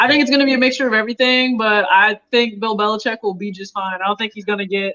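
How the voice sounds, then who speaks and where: A woman with a Southern US accent at a very fast pace, fairly high in pitch, with fairly even intonation and big swings in loudness. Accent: somewhat Southern. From Michigan, Detroit area. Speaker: sneaker YouTube show host. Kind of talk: casual chat on live stream. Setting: live stream.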